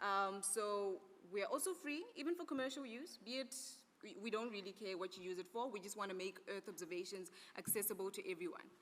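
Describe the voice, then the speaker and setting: Ordinary pitch variation marks this woman's medium-pitched voice. She talks at a fairly quick pace. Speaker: conference speaker presenting an Earth observation program. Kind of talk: conference presentation. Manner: fast.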